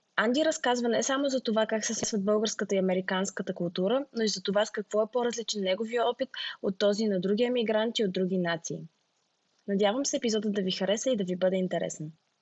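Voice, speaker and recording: In a Bulgarian accent, a woman talks very fast at a fairly high pitch with ordinary pitch variation. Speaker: podcast host. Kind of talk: scripted intro.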